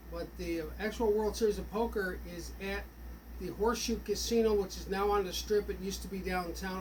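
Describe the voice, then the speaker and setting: Man at a fairly quick pace, with audible room echo and noticeable background noise. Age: 60s. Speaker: sports fan vlogger. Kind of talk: casual monologue. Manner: rambling, halting with fillers.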